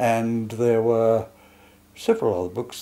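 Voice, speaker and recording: In an Australian accent, a man speaks with a dark, mellow tone at a fairly low pitch. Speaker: painter. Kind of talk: interview. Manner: halting.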